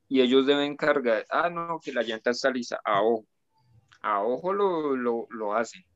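A man with a plain, everyday voice, medium pitch and lively intonation, at a moderate pace. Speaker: guest. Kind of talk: casual chat.

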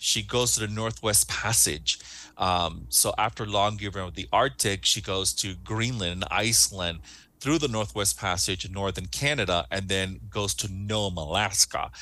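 Against a quiet background, a man with a fairly low pitch, a bright, sharp tone and vocal fry talks at a fairly slow pace with lively intonation. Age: 40s. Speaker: cruise line sales director. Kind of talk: interview.

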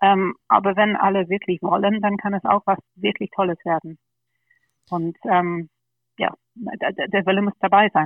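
A woman's medium-pitched voice with fairly even intonation and long, frequent pauses. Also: fairly slow pace. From England, London. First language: English (speaking German). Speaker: party board candidate. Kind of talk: podcast interview.

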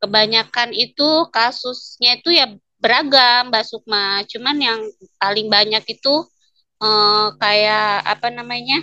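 This woman speaks at a fairly slow pace in a high pitch, with ordinary pitch variation. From Lampung, Indonesia. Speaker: complaint officer for violence victims. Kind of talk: interview. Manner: casual, hesitant with fillers.

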